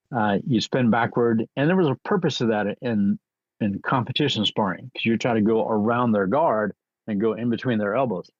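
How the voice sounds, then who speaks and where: A man speaks at a moderate pace in a normal speaking voice, his pitch medium. His loudness stays very even, with ordinary pitch variation. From US military bases. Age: 60s. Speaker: martial arts grandmaster. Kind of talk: interview storytelling.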